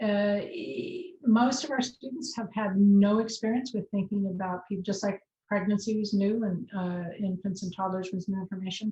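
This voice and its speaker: At a moderate pace, a woman speaks at a medium pitch in a dark, mellow, somewhat breathy voice. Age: 60s. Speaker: college nutrition professor. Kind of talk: lecture.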